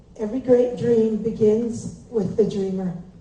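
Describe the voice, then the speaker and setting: A woman talks at a very slow pace in a fairly high pitch. Audible room echo surrounds her voice. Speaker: parenting seminar speaker. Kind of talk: public speech.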